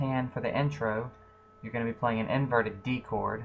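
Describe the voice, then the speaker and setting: A man speaks at a medium pitch and moderate pace. His intonation is fairly even, with music in the background. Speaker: amateur piano tutorial maker. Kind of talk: tutorial. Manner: casual, hesitant with fillers; loud.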